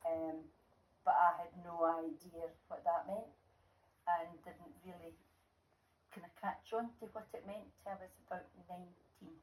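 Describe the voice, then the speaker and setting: A woman with a Scottish accent speaks at a fairly low pitch, somewhat breathy and at a fairly slow pace. Her loudness swings widely, and long, frequent pauses break up her speech. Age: 70s. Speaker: grandmother, former nurse. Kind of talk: interview.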